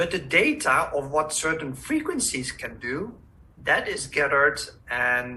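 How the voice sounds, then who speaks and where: A fairly slow pace with a Dutch accent. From Netherlands. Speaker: holistic health practitioner. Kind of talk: webinar presentation. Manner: halting.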